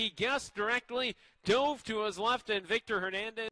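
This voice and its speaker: A man speaks at a fairly quick pace in a raised, projected voice with a bright, sharp tone. His pitch variation is ordinary, and the sound is dry and close with no echo. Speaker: college soccer play-by-play commentator. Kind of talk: live play-by-play soccer commentary. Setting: broadcast booth at a live college soccer match.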